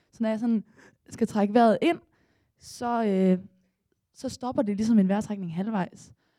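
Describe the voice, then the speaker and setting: The dark, mellow voice has ordinary pitch variation and long, frequent pauses. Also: woman, fairly high pitch for a woman, fairly slow pace. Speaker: storyteller, former swimmer. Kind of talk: live storytelling. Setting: stage with audience.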